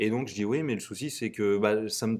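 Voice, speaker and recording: A man speaks at a moderate pace with a medium pitch, a normal speaking voice, and ordinary pitch variation. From central France (Tours). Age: 20s. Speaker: startup co-founder and CTO. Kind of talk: interview testimony.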